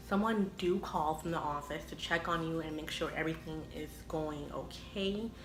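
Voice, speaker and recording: With audible room echo and noticeable background noise, a woman speaks at a fairly low pitch and moderate pace with fairly even intonation. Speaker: vlogger. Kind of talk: personal vlog.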